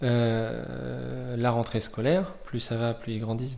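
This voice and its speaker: Against audible room echo, a man speaks in a medium pitch with a dark, mellow tone. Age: 40s. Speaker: volunteer host parent. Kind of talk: interview.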